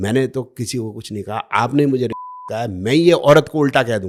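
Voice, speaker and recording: His pitch rises and falls in an ordinary way. The speaker is a man. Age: 60s. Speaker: podcast guest, astrology critic. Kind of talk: podcast interview. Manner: animated.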